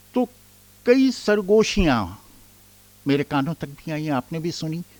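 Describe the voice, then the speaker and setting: This man's voice sits fairly high and swings very widely in pitch. The sound is dry and close, with no echo. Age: 60s. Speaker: author. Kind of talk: speech.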